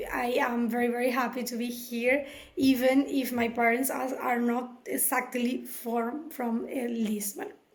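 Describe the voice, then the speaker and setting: Speaking fairly slowly in a Spanish accent, a woman's high voice carries fairly even intonation amid audible room echo. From Venezuela. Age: 30s. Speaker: job seeker presenting herself. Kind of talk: self-introduction video. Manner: halting, many fillers.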